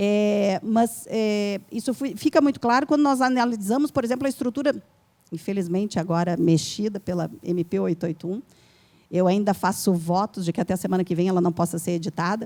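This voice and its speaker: Talking at a fairly quick pace, a woman with a medium pitch has a dark, mellow tone and lively intonation. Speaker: law professor, panel speaker. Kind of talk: debate panel answer to audience question. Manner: fast; hesitant, many fillers.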